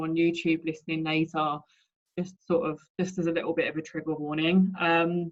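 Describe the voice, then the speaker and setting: Her voice is fairly low in pitch for a woman, with monotone, flat intonation. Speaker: student midwife. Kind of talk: personal talk read from prepared notes. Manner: loud.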